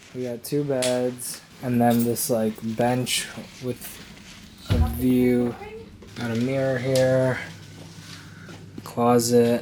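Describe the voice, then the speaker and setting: Noticeable background noise sits behind a relaxed voice moving at a very slow pace with long, frequent pauses. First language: Cantonese. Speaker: travel vlogger. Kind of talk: casual vlog narration. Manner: casual, relaxed.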